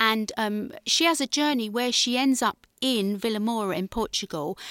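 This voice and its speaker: A woman speaks with a southern English accent and ordinary pitch variation. The recording is very clean, with a silent background and a dry, close sound with no echo. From southern England, Guildford, Surrey. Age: 50s. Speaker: actress and playwright. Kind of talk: radio interview.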